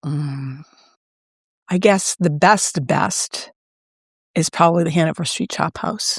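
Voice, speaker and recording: A woman speaks in a fairly low, somewhat breathy voice with ordinary pitch variation and long, frequent pauses. The sound is dry and close, with no echo. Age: 60s. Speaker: shop owner and former TV producer. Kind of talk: casual interview, quick-fire questions. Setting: in her shop.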